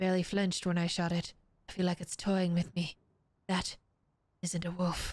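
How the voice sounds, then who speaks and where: A woman speaks at a moderate pace in a somewhat breathy, fairly low voice with monotone, flat intonation and long, frequent pauses. The sound is dry with no echo, and the background is quiet. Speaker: streamer. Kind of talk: reading aloud. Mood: calm, narrative reading tone. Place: home room. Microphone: studio mic.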